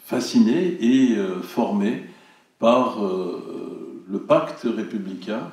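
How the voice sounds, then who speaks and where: A man talks amid noticeable background noise, and audible room echo surrounds his words. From Turkey, Ankara. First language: Turkish (speaking French). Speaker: cinema director. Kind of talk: public speech. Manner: hesitant, many fillers.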